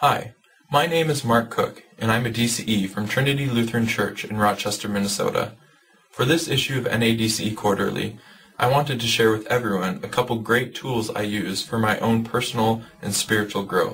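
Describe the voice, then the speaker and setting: Ordinary pitch variation marks this man's speech. He talks at a fairly quick pace. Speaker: church youth educator. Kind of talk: informational video talk. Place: home room. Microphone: webcam.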